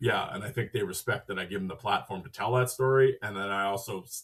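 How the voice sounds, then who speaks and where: A man speaks with a Canadian Prairies accent. His pace is fairly quick. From Western Canada, Saskatchewan. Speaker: hockey podcaster. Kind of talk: casual chat.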